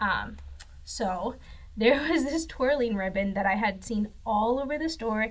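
Somewhat breathy and fairly high, a woman's voice moves at a moderate pace with ordinary pitch variation. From northern Mexico (Saltillo, Coahuila). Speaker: graphic designer. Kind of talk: faith testimony.

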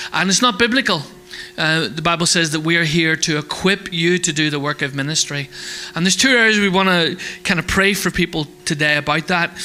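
A man speaks at a fairly quick pace in a high voice, with noticeable background noise behind him. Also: ordinary pitch variation. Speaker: church host. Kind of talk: casual announcements. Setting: church.

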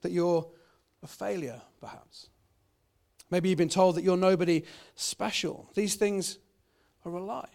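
A man's high voice with a British accent, fairly even intonation, and long, frequent pauses. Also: very clean recording, silent background. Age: 30s. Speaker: pastor. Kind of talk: sermon. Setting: church. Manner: halting, many fillers.

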